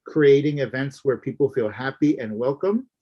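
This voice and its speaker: A man's medium-pitched voice with a Florida accent at a moderate pace. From Florida Everglades, Miccosukee tribe. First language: Miccosukee. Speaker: minister and activist. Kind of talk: interview conversation.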